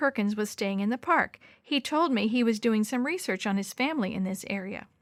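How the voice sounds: A reading voice that sounds natural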